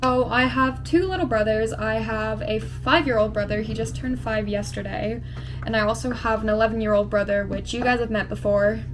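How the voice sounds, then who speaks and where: Music plays in the background and room echo is audible as the speaker moves along at a fairly quick pace. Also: woman. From England, near London (moved to US at about 9). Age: 20s. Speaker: beauty vlogger. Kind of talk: casual chat while doing makeup. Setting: at home. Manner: casual, filler-heavy.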